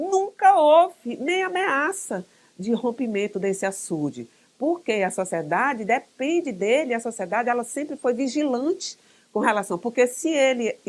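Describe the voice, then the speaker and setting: Her high-pitched voice swings very widely in pitch. The woman talks at a fairly slow pace. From Brazil, Piauí (São Raimundo Nonato). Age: 60s. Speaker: history professor. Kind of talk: interview. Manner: halting.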